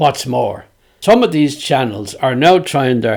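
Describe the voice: Plain reading aloud comes with intonation that moves in a lively way.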